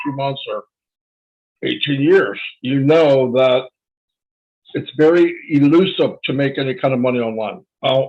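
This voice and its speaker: A man's ordinary speaking voice, fairly high in pitch, at a moderate pace with fairly even intonation. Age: 60s. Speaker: online marketer. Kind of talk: webinar presentation. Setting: online webinar.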